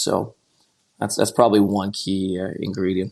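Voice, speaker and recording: Monotone and flat, a man with a Quebec accent speaks at a fairly low pitch and a fairly quick pace. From Quebec, Montreal. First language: French. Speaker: investment banker. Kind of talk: podcast interview. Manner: halting, many repetitions and fillers.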